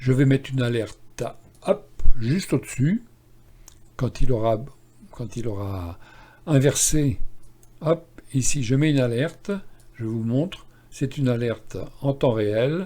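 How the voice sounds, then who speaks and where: Somewhat breathy and dark, mellow in tone, a man's medium-pitched voice carries lively intonation broken by long, frequent pauses. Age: 70s. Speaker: stock market analyst and trading educator. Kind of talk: screen-share tutorial on chart analysis. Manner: casual, halting with fillers and repetitions.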